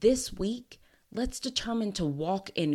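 Fairly slow speech with lively intonation, on a very clean recording with a silent background. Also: woman. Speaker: podcast host. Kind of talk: solo motivational podcast monologue. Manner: energetic, competitive tone.

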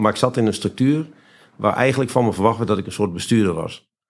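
A man speaks with lively intonation. The recording is very clean, the background silent. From Friesland, Netherlands. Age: 50s. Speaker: entrepreneur. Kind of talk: interview. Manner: halting.

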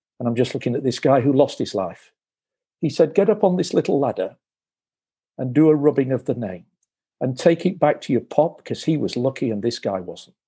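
A man with a British accent at a fairly quick pace, fairly high in pitch and dark and mellow in tone, with lively intonation and long, frequent pauses. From England. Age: 60s. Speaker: former broadcasting executive and author. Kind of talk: interview storytelling.

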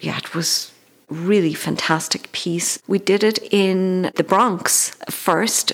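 A woman with an Irish accent speaks at a very slow pace. Her fairly low pitch shows ordinary pitch variation. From Ireland, County Galway (Tuam). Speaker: actor. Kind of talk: interview.

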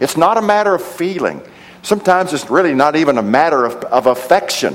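At a moderate pace, a man with a fairly high pitch speaks with lively intonation over noticeable background noise. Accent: American. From Texas, Odessa. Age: 60s. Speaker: preacher and theology professor. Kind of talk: sermon. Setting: church service with congregation.

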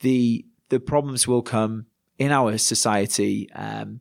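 Against a silent background on a very clean recording, a man with a Yorkshire accent speaks very slowly in a flat, monotone way. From Yorkshire, northern England. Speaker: pastor. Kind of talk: casual interview.

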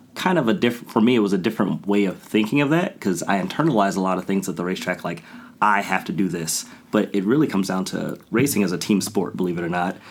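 A man with an American accent talks at a very fast pace. His pitch is fairly low, with ordinary variation. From Ohio, US. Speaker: amateur race car driver. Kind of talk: casual interview. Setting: studio. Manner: animated.

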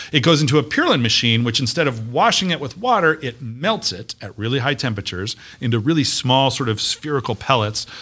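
A man with an American accent speaks at a very fast pace in a medium pitch, his bright, sharp tone and lively intonation running on with hardly any pauses over a very clean recording with a silent background. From US West (Las Vegas, Nevada). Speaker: university economic development official. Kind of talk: casual interview.

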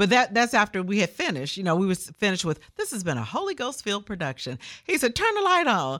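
Very fast and with very wide pitch swings, a woman with a Memphis accent speaks at medium pitch in a bright, sharp tone with vocal fry, captured in a very clean recording with a silent background. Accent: Southern US, Memphis. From Memphis, Tennessee, US South. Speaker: gospel radio host. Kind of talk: casual interview.

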